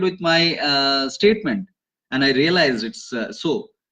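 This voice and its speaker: The speaker is a man. He talks at a moderate pace. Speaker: online course teacher. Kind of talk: online class, reading out student reflections. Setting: live stream from home office. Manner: loud; halting, many fillers.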